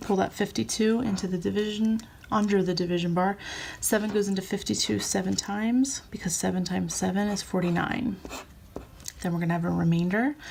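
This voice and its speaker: Medium in pitch, a woman has an unremarkable speaking voice. She talks at a fairly quick pace with ordinary pitch variation. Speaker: teacher. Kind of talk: tutorial.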